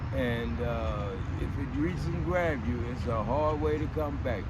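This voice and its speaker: Amid noticeable background noise and audible room echo, a man with an American accent talks at a moderate pace with lively intonation. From Texas, Fort Worth South Side. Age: 60s. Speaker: homeless man. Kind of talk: casual interview. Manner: halting, with frequent fillers.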